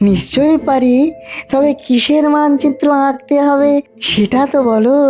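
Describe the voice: A female-sounding voice performs a cartoonish character at a fairly slow pace. Clear music sounds in the background.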